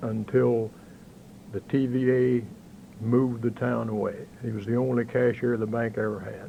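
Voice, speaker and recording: In a western Kentucky accent, a man speaks at medium pitch and a moderate pace. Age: 60s. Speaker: interviewee, local banker. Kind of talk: oral history interview. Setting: local bank office.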